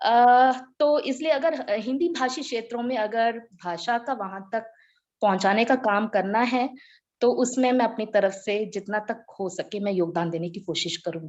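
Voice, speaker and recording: A woman at a fairly high pitch with lively intonation. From India, Chennai and various regions. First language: Tamil (speaking Hindi). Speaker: Hindi teacher. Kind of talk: group video meeting discussion. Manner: halting, with fillers.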